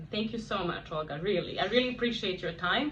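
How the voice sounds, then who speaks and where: Woman with a Serbian accent and ordinary pitch variation, noticeable background noise and audible room echo. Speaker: video blogger on bilingual parenting. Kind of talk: interview conversation.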